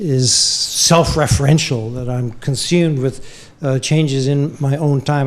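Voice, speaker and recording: In an unremarkable speaking voice, a man talks at a fairly slow pace with ordinary pitch variation. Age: 60s. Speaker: historian. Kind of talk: Q&A after lecture.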